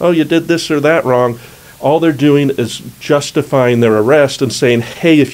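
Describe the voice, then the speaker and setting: A man mumbles at a fairly quick pace with ordinary pitch variation. Noticeable background noise runs underneath. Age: old. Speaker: criminal defense attorney. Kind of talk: legal explainer video. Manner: mumbles a fair amount; casual, conversational.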